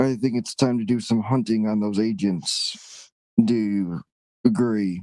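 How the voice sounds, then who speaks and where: Fairly slow delivery in an assumed character voice. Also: man, medium pitch for a man. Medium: actual play.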